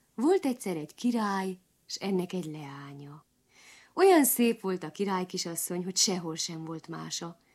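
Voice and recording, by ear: Someone is reading aloud in a natural voice.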